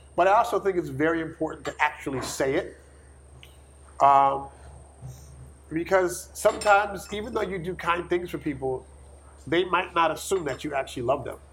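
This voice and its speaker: Pausing long and often, a man talks at a moderate pace in a high pitch with ordinary pitch variation. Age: 40s. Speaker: nonprofit founder and hip hop artist. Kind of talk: interview conversation.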